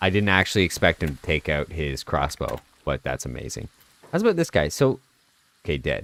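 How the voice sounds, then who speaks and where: A man with a very deep, low pitch talks at a fairly quick pace, his intonation lively and touched with vocal fry. Long, frequent pauses break up his speech in a dry, close sound with no echo. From Canada. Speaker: video game streamer. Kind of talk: live gameplay commentary. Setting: live stream. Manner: casual, chatty.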